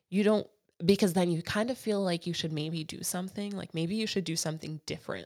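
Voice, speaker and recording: Speaking at a fairly quick pace, a woman with an American accent has a fairly low pitch and ordinary pitch variation. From New York City (Brooklyn, Soho). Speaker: digital strategist. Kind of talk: casual interview chat. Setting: studio.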